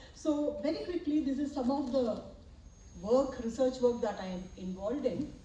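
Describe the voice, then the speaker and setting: A woman's lively intonation at a moderate pace, with audible room echo and noticeable background noise. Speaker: professor and medical imaging researcher. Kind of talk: academic presentation and Q&A response. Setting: symposium hall with audience and slides.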